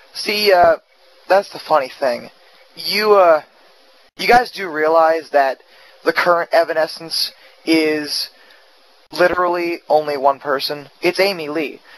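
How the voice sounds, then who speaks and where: A man with a high pitch, ordinary pitch variation, a fairly slow pace and long, frequent pauses, against noticeable background noise. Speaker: vlogger. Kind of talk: vlog rant. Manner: subdued, not yelling; halting, with fillers and restarts.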